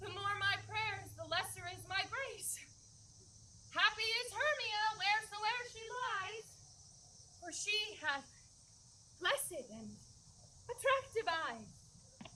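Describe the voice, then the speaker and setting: In a put-on character voice, a woman sounds squeaky, her pitch extremely high and her intonation lively. She speaks very slowly with big swings in loudness, over clear background noise. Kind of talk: archaic, Shakespearean verse.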